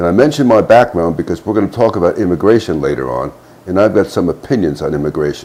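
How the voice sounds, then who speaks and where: A man with a very deep, low voice talks at a very fast pace. His pitch swings very widely over noticeable background noise. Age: 70s. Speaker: retired army officer. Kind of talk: political commentary monologue. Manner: halting.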